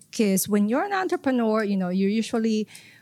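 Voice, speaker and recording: A woman's medium-pitched voice with ordinary pitch variation, in dry, close sound with no echo. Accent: Filipino. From Philippines. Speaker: economic development executive. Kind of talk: podcast interview. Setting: conference venue.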